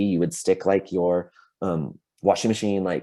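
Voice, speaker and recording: The tone is dark and mellow, delivered at a fairly quick pace. The background stays quiet. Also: man. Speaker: middle school teacher. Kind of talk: workshop presentation. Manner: fast.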